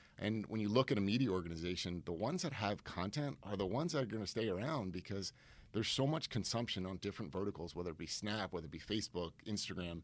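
Someone with an American accent talks at a very fast pace with lively intonation, on a very clean recording with a silent background. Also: man, fairly low pitch for a man. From Connecticut, US. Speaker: marketing executive. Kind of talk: casual interview chat.

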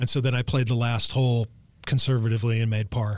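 Here a man speaks at a very fast pace with an American accent. His intonation stays fairly even. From Los Angeles, California. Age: 60s. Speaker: golf instructor. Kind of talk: interview.

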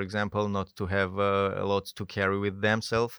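A man's fairly low, monotone, flat voice in a Georgian accent at a moderate pace, over a quiet background. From Georgia (country). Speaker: mountain guide. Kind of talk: interview. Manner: halting.

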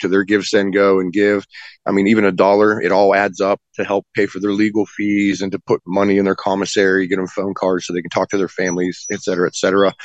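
A fairly low-pitched man with an Appalachian accent, monotone and flat, at a fairly quick pace, with a dry, close sound with no echo and a quiet background. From West Virginia. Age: 40s. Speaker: political defendant and activist. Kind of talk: interview.

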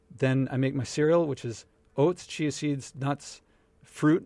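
In a normal speaking voice with an American accent, a man talks fairly slowly at a fairly high pitch with fairly even intonation, on a very clean recording with a silent background. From Philadelphia, US. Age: 40s. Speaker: author and entrepreneur. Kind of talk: casual interview.

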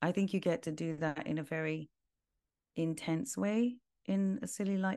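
Against a quiet background, a woman with a London accent speaks at a fairly low pitch in a dark, mellow tone with ordinary pitch variation. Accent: British (London). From London, England. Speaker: world music and mantra artist. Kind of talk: casual interview.

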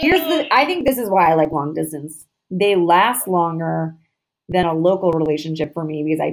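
A woman speaks with an American accent. Her pace is fairly quick. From Boston. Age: 30s. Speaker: podcast host. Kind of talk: casual chat.

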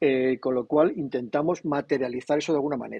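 Moderate-paced speech from a man. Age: 60s. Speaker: comics publisher. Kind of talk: casual interview. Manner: animated.

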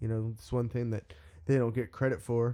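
Speaking with an American accent, a man uses medium pitch and a dark, mellow tone. His pace is fairly quick. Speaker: musician, singer in a band. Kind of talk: casual chat.

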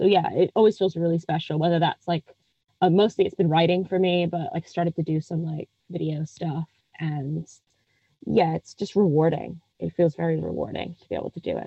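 A woman speaks with an American accent in a plain, everyday voice. Her pitch is fairly low, her pace fairly quick, and her intonation fairly even. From United States. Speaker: film critic. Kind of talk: casual interview chat about a film.

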